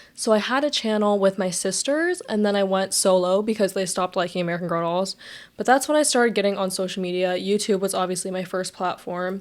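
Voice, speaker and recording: Over noticeable background noise, a woman with a medium pitch talks at a fairly quick pace with ordinary pitch variation. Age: 20s. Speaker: podcast host and YouTuber. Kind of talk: casual monologue. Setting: bedroom. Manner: fast; heavy breathing at times.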